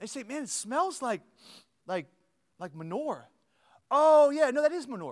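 An animated man with a Pennsylvania accent, extremely high pitched, with very wide pitch swings, a moderate pace, long, frequent pauses and big swings in loudness. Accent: Pennsylvania American. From US Northeast, Lancaster County, Pennsylvania. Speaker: pastor. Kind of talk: sermon. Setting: church with live audience. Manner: animated, repetitive stammering starts.

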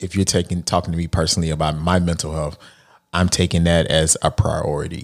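A man speaks at a moderate pace with an American accent. His pitch is very deep and low. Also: very clean recording, silent background. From Texas. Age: 40s. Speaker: life coach and author. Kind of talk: podcast interview.

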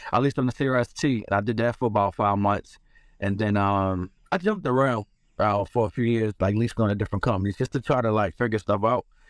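A man with an American accent talks very fast at a fairly low pitch, with ordinary pitch variation and very even loudness. The sound is dry and close, without echo. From US Northeast (Philadelphia). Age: 40s. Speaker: truck driver and inventor. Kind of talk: casual interview. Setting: video call from his tow truck.

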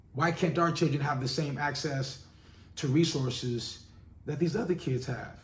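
The speaker sounds somewhat breathy at a moderate pace, with audible room echo. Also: man, fairly high pitch for a man, ordinary pitch variation. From Los Angeles, South Central. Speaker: podcast host, music industry. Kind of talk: monologue. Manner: casual, filler-heavy.

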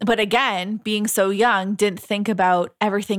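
A woman's voice at a moderate pace, with fairly even intonation. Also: very clean recording, silent background. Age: 20s. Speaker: podcast co-host. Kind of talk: casual chat.

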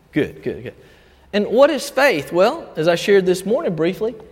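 With a Southern US accent, a man talks in very wide pitch swings, and the room echo is audible. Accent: Southern US (Georgia). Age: 50s. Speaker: pastor. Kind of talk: sermon. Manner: halting.

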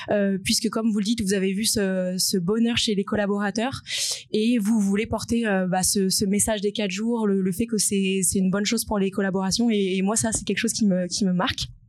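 A woman's medium-pitched voice at a fairly quick pace, with monotone, flat intonation and very even loudness, over noticeable background noise. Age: 20s. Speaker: social impact consultant. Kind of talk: live panel talk.

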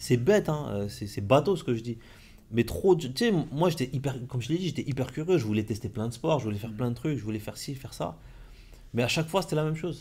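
Fairly quick and lively in intonation, a man speaks at medium pitch with a dark, mellow tone. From France, Compiègne. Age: 40s. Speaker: entrepreneur and mentor. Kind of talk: casual interview. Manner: halting.

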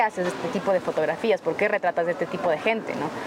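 Fairly even intonation from a woman, with noticeable background noise behind it. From Ecuador, south Quito. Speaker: photographer. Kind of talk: casual chat.

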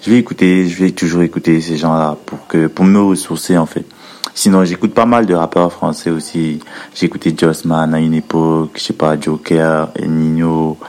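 Against noticeable background noise, a man with a very deep, low pitch talks at a moderate pace with fairly even intonation. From Cameroon, Edea. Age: 20s. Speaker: rapper. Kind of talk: recorded interview answers.

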